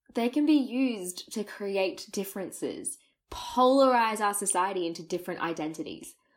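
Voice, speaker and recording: A woman talks at a moderate pace, her pitch swinging very widely. The recording is very clean, with a silent background. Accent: Australian. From Australia. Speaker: podcast host. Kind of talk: scripted storytelling intro.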